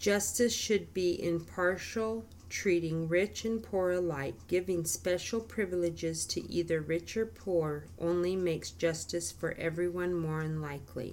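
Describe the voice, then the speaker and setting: This woman has an unremarkable speaking voice, a fairly low pitch and ordinary pitch variation, and speaks at a fairly slow pace. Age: 50s. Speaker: Bible study podcast co-host. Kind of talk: casual Bible study chat.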